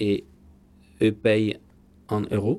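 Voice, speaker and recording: In an Italian accent, a man with a fairly low pitch and a dark, mellow tone speaks at a very slow pace. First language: Italian (speaking French). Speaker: TV journalist. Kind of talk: interview.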